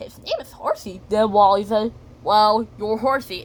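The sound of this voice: Text is being read here. The voice is an unforced reading voice.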